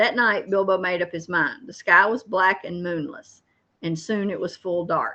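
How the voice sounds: A natural reading voice carries fairly even intonation. The background is quiet.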